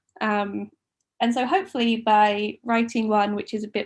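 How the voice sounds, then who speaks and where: A fairly high-pitched woman speaks at a moderate pace in a somewhat breathy voice. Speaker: author. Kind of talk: book talk; reading aloud. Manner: quiet, sometimes low volume.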